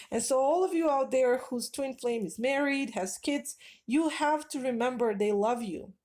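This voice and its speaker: A woman with a non-native accent speaks fairly slowly at a high pitch, with lively intonation and a dark, mellow tone, in a very clean recording with a silent background. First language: not English. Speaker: spiritual advice vlogger. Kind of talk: casual monologue.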